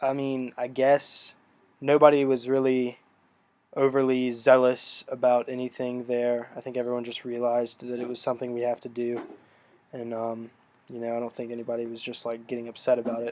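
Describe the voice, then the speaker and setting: Dark, mellow tone with monotone, flat intonation, a fairly quick pace and big swings in loudness. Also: man, medium pitch for a man. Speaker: college student vlogger. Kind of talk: casual vlog reflection. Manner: hesitant, many fillers.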